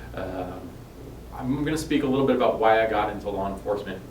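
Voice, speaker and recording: A man with an American accent talks at a very fast pace. The room echoes audibly and background noise is noticeable. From New York. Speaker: police officer. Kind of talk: informational video address to residents. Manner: casual, with frequent fillers.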